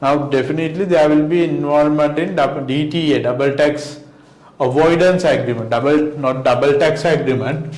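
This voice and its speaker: A man speaks at a moderate pace with a fairly high pitch and very even loudness, his intonation fairly even. Noticeable background noise and audible room echo are present. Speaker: accountancy lecturer. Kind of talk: lecture. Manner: many fillers and self-corrections.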